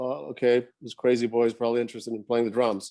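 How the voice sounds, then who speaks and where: A man talks at a moderate pace and medium pitch with a dark, mellow tone. The recording is very clean, with a silent background. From Sweden (Gothenburg). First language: Swedish. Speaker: professional rock drummer. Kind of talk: casual interview.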